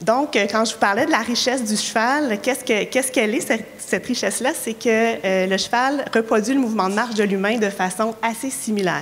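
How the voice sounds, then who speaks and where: A woman with a Quebec accent and a fairly high voice speaks at a fairly quick pace with ordinary pitch variation over noticeable background noise. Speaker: occupational therapist and researcher. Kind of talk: conference talk. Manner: hesitant, many fillers.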